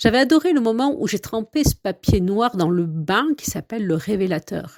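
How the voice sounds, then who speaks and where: A woman's voice at medium pitch with very wide pitch swings and a fairly slow pace, dry and close with no echo, on a very clean recording with a silent background. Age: 50s. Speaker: podcast host and coach. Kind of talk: podcast monologue. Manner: hesitant, with filler sounds.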